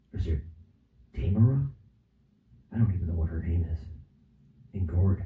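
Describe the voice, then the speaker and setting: Whispering at a moderate pace, a man sounds somewhat breathy. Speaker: vlogger. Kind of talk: comedic vlog skit. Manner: animated.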